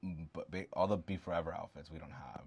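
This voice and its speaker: On a very clean recording with a silent background, a man mumbles. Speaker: doll collector vlogger. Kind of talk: casual collection show-and-tell. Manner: mumbling; casual, halting with fillers.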